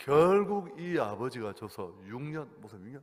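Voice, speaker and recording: Very wide pitch swings run through this voice. It belongs to a man. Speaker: guest pastor preaching at revival meeting. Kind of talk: sermon. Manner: animated storytelling.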